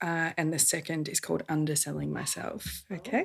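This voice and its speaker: A woman talks at a moderate pace with vocal fry and a fairly low pitch. Her tone is bright and sharp. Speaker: lettering artist. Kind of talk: podcast interview.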